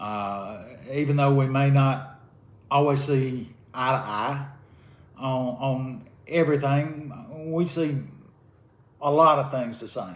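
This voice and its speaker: Very slow speech in a Southern US accent, with long, frequent pauses and audible room echo. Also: man, medium pitch for a man, ordinary pitch variation. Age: 60s. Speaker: retired karate fighter. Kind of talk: casual chat. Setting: at home, drinking beer.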